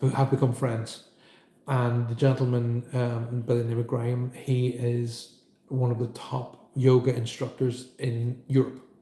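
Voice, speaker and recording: Speaking in a central Irish accent, a man uses a fairly slow pace and monotone, flat intonation. His voice is somewhat breathy, with a dark, mellow tone. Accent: soft Irish, from the centre of Ireland. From Ireland.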